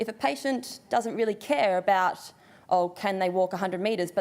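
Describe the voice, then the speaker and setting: Her medium-pitched voice shows ordinary pitch variation as this woman speaks. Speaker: occupational therapist. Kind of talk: conference presentation. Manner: fast.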